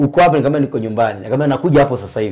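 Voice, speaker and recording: The tone is dark and mellow. The background is quiet. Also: man. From Tanzania, Shinyanga region; Tanzania. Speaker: former choir singer; interview guest. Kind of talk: testimony. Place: home room. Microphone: lapel.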